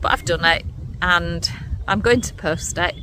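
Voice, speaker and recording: At a moderate pace, the speaker talks with an English accent over noticeable background noise. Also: woman. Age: 60s. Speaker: menopause vlogger. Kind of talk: personal testimony. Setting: recorded on camera.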